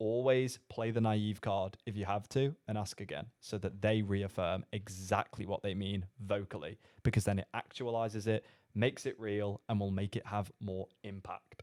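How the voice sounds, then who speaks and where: A man with a British accent and a fairly low pitch, moderate pace, fairly even intonation, dry and close sound with no echo, on a very clean recording with a silent background. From Britain. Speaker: sales coach. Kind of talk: commentary on a recorded call.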